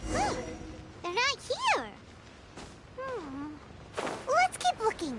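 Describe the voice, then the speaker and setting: A cartoonish character voice at an extremely high pitch swings very widely up and down, moving at a very slow pace with long, frequent pauses. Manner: eager, chatty.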